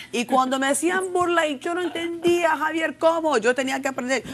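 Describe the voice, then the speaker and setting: A woman speaks at a fairly quick pace. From Los Angeles, US, Mexican-Salvadoran family. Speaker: TV talk show host. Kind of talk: TV panel discussion. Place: studio. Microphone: lapel.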